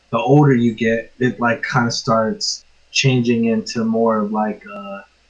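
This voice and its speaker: The man's voice sits at a medium pitch. He keeps his intonation fairly even. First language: Spanish. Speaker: music producer. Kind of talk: casual chat.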